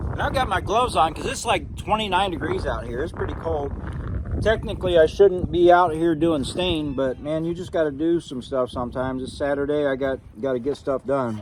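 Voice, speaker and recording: Over noticeable background noise, a man with a fairly high voice speaks at a fairly quick pace with lively intonation. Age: 50s. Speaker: YouTuber, nursery owner and carpenter. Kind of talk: tutorial. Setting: outdoors. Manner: casual, halting with fillers.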